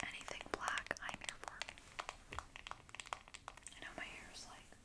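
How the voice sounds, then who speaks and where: Whispering at a fairly slow pace with long, frequent pauses over noticeable background noise. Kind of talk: ASMR makeup show and tell. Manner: whispered; casual, chatty.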